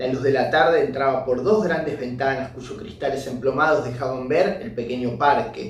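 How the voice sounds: Reading in a natural voice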